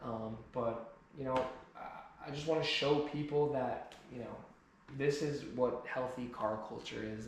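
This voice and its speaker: Noticeable background noise and audible room echo surround a man speaking with an American accent. His voice has a medium pitch and monotone, flat intonation. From New Jersey, US. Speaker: car enthusiast YouTuber. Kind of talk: personal vlog monologue. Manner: halting, repeated word starts.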